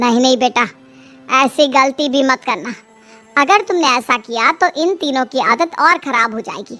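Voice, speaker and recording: Faint music plays in the background as a woman uses a high-pitched, cartoonish character voice at a moderate pace. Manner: affectionate but calculating.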